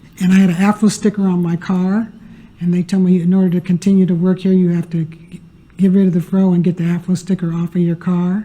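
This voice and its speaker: In a dark, mellow tone that is somewhat breathy, a woman talks at a very fast pace with monotone, flat intonation. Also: medium pitch for a woman. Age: 70s. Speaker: retired tutoring coordinator. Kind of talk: panel discussion.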